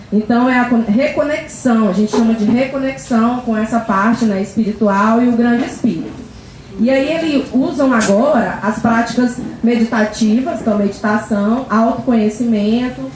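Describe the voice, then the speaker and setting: A woman with a Goiás accent and a fairly high pitch speaks at a moderate pace with ordinary pitch variation and very even loudness. Noticeable background noise is present. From Brazil, Acre (Cruzeiro do Sul). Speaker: teacher giving a talk on shamanism. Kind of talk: talk to a spiritual group. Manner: casual, hesitant with false starts.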